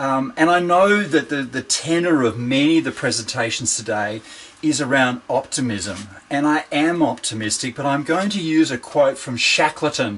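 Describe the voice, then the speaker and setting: A man talks with an Australian accent at a fairly high pitch. His intonation is lively and his pace moderate. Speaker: organizational psychologist and keynote speaker. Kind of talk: keynote presentation. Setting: video call from home shed.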